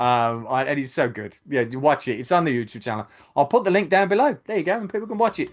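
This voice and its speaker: In a Birmingham accent, a man talks at a very fast pace with a fairly high pitch. His pitch swings very widely, and the background is quiet. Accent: Brummie. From Birmingham, England. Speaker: YouTube channel host, film fan. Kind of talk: casual podcast chat. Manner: hesitant, many fillers.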